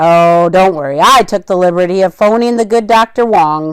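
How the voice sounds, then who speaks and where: A woman's put-on character voice, medium in pitch, at a moderate pace. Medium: read story. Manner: folksy, jovial.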